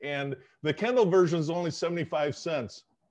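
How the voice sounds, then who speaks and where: Ordinary pitch variation marks this speech in an American accent. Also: man. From Southern California. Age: 60s. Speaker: sociologist and author; guest. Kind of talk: interview. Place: home room. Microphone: video call.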